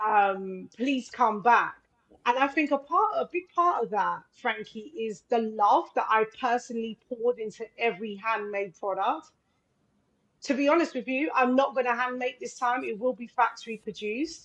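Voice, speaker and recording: A woman's fairly high voice in a London accent, with ordinary pitch variation at a moderate pace. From London (Islington), England. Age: 40s. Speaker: film director and wellness entrepreneur. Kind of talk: live radio interview. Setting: live radio show.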